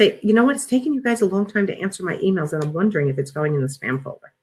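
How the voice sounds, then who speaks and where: A woman with an American accent at medium pitch, very wide pitch swings, and music in the background. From New York. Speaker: business coach. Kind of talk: webinar Q&A. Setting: online webinar. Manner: fast.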